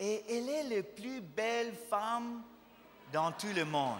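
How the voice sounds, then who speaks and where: A man with a non-native accent at a very slow pace, with audible room echo. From USA. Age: 40s. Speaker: visiting pastor. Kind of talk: sermon. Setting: church with congregation. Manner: halting, self-correcting French.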